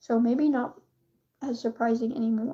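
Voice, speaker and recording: Speaking in an American accent, a woman has a high pitch. Her tone is dark and mellow. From USA. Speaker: streamer. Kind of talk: casual chat. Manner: animated.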